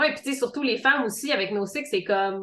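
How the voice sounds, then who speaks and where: With a Quebec accent, a woman talks at a very fast pace with lively intonation. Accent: Québécois French. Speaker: podcast host. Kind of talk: casual podcast interview.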